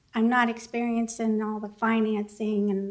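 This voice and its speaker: A woman speaks in a fairly high, shaky voice with a monotone, flat intonation. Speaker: city hall employee giving public comment. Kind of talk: public comment speech. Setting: city commission meeting chamber.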